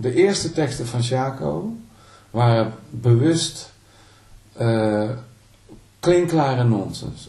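A man speaks at a very slow pace, with long, frequent pauses and lively intonation at a medium pitch. His tone is dark and mellow, somewhat breathy, and there is audible room echo. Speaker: singer-songwriter and guitarist. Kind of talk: interview. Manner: halting.

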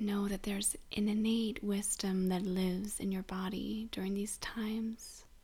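In a dark, mellow and calm, soothing tone, a woman speaks at medium pitch, somewhat breathy, with monotone, flat intonation. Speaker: grief support host and guide. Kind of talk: guided meditation (body scan). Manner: slow, soothing, gentle, with long pauses; soft-spoken, calm, tender.

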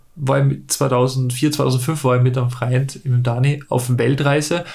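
There's a somewhat breathy quality here. Intonation holds fairly even. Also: man. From Austria, Salzburg. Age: 30s. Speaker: paraglider pilot. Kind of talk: interview. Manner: halting.

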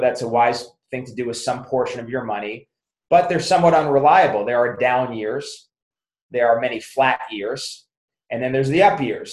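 At a rather brisk tempo, a normal speaking voice rises and falls with ordinary variation in pitch. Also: man. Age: 50s. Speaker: chiropractor and business author. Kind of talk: interview.

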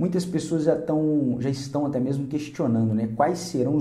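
A man talks at a moderate pace with a fairly high pitch and ordinary pitch variation. His tone is dark and mellow, and somewhat breathy. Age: 30s. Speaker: career coach. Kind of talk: motivational video talk.

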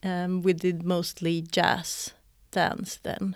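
A woman speaks with a Swedish accent in a fairly low pitch. The recording is very clean, with a silent background. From northern Sweden, Örnsköldsvik. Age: 40s. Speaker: choreographer and dancer. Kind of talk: interview conversation. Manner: hesitant, many fillers.

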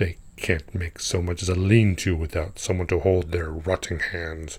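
A man's rumbling, put-on character voice, very deep and low in pitch, at a moderate pace on a very clean recording with a silent background. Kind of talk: comic monologue. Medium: audio drama. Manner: talkative, scornful, grumbling, with a soldier's pride; haughty, disdainful exclamations.

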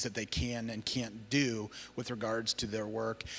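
In a very clean recording with a silent background, a man with an American accent speaks at a medium pitch in a bright, sharp tone. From Iowa, US Midwest. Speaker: missionary working with refugees. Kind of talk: church talk about ministry. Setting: church service.

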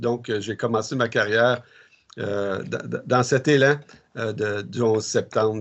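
Here a man talks at a medium pitch. His pace is moderate, with fairly even intonation. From Quebec, Ormstown south shore of Montreal. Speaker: military chaplain. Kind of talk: interview. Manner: halting.

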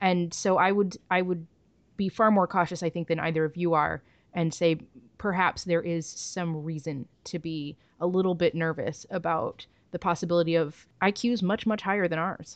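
Against a quiet background, a woman with a fairly low pitch speaks at a moderate pace in an ordinary speaking voice. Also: fairly even intonation. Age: 30s. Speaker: podcast host. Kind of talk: casual chat.

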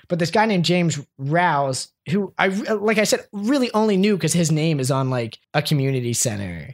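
With an American accent, a man speaks at a high pitch and moderate pace, using lively intonation, very even loudness and hardly any pauses. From Columbia, Maryland, US. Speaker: podcast guest. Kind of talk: casual chat.

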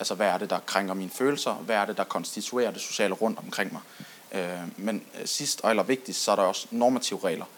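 A man at a fairly quick pace. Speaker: audience member. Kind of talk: audience discussion. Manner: halting.

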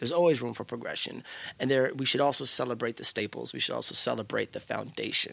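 A man with a medium-pitched voice and vocal fry talks very fast, his pitch varying in an ordinary way. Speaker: hip hop artist and youth mentor. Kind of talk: interview conversation. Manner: fluent, flowing delivery.

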